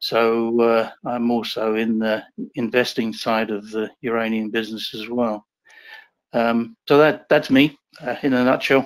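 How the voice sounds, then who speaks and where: Fairly slow delivery keeps to a monotone, flat intonation. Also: man, medium pitch for a man. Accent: English. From England. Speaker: nuclear engineer and uranium investor. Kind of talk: interview. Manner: hesitant, many fillers.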